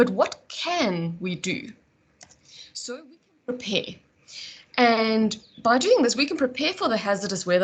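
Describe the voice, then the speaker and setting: Somewhat breathy, a woman's voice sits fairly high in pitch and moves with lively intonation. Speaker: weather forecaster and trainer. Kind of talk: workshop presentation.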